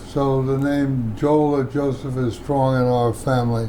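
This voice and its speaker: Amid noticeable background noise and audible room echo, a man with an American accent speaks at a fairly slow pace and a fairly high pitch in a monotone, flat intonation. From Washington, D.C. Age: 90s. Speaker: oral history interviewee. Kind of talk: oral history interview. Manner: halting.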